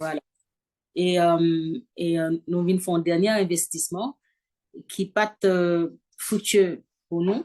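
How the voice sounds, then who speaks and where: Very slow pace from a woman with a fairly low pitch, fairly even intonation and long, frequent pauses. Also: dry, close sound with no echo. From Haiti. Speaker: fashion designer and singer. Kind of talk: interview answer. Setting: home video call with background noise.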